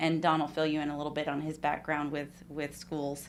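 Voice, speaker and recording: A woman's very deep, low voice with a Texan accent. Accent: noticeable Texan. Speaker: management consultant. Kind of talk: formal presentation. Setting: school board meeting room.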